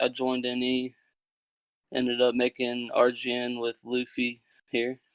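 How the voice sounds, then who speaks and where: A man with an American accent, medium-pitched, with a dry, close sound and no echo. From Kentucky, US. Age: 20s. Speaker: gaming clan founder. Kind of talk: casual chat.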